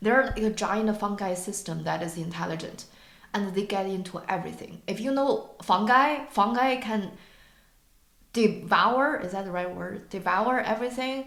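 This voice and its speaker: A woman with a non-native accent talks at a moderate pace. Room echo is audible. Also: medium pitch for a woman, ordinary pitch variation. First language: not English. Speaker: podcast co-host. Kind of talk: casual discussion. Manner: halting, searching for words.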